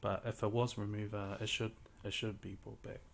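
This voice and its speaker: A man speaks at a fairly quick pace with a medium pitch. His intonation is monotone and flat, and his voice is somewhat breathy. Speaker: gaming YouTuber. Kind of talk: casual gaming commentary. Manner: halting, many fillers.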